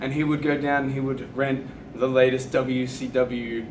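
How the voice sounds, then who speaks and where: A man's medium-pitched voice with an Australian accent, audible room echo and noticeable background noise. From Australia, country Victoria near Melbourne. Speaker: professional wrestler. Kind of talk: interview.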